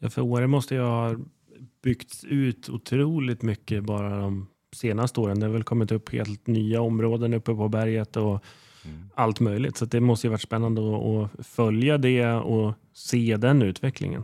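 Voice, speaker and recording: A man with a dark, mellow tone at medium pitch, moderate pace and fairly even intonation, recorded dry and close with no echo against a silent background in a very clean recording. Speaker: podcast host and real estate agent. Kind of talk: casual interview chat.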